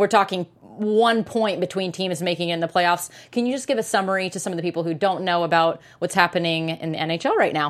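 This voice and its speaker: A woman with an American accent talks at a fairly quick pace in an ordinary speaking voice, pitched fairly low. Her pitch varies in an ordinary way, and she hardly pauses at all. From Portland, Oregon. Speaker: sports podcast co-host. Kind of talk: casual sports banter.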